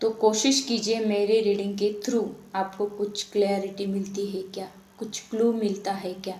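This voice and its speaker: A woman speaks with a Marathi accent in a monotone, flat intonation, and room echo is audible. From Maharashtra, India. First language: Marathi (speaking Hindi). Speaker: tarot reader. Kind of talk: spiritual talk to viewers.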